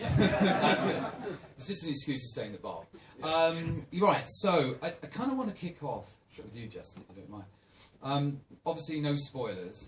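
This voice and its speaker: Against noticeable background noise, a man speaks at a moderate pace in a fairly high voice, with very wide pitch swings and big swings in loudness. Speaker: festival presenter. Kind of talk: live event introduction. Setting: cinema stage with audience.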